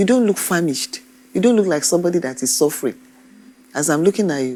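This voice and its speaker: Speaking at a very fast pace, this woman has a fairly low pitch. Her pitch swings very widely. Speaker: TV court judge. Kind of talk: courtroom questioning. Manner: firm, stern.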